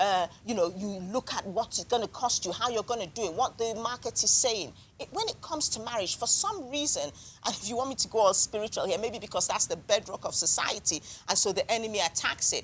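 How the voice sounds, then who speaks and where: A woman talks very fast at a fairly high pitch with ordinary pitch variation, against noticeable background noise. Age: 60s. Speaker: marriage counsellor and author. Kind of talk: book club panel discussion.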